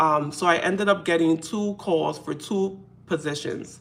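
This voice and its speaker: A woman with a very deep, low pitch speaks in a New York accent with ordinary pitch variation. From New York City. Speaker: faith content creator. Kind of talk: casual live stream talk to camera. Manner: conversational, hesitant.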